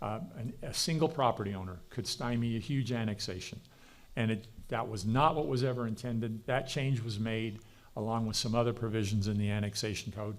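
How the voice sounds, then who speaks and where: Speaking at a fairly quick pace with a medium pitch, a man is heard with audible room echo. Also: ordinary pitch variation. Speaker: panel moderator. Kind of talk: conference panel presentation. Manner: fast.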